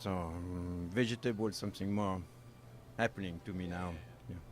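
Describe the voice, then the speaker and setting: In a French accent, a man speaks at a moderate pace. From France, Normandy. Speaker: baker and chef, bakery owner. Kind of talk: casual interview. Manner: halting, broken English.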